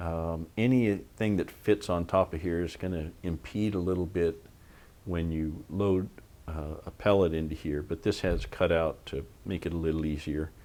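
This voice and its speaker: A man's very deep, low voice with a dark, mellow tone and an American accent, moderate pace, ordinary pitch variation, and a very clean recording with a silent background. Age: 60s. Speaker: airgun reviewer. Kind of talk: product review tutorial. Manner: casual with frequent fillers.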